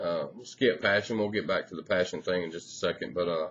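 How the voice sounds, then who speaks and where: He speaks at a fairly quick pace. The voice is a man's. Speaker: sports fan vlogger. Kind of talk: casual vlog chat. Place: home room. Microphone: webcam.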